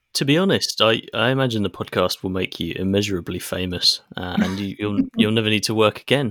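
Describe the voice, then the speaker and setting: A man with a plain, everyday voice, a fairly low pitch and ordinary pitch variation, talking at a fairly quick pace with hardly any pauses. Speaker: podcast co-host. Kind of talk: casual chat. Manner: dry, sarcastic.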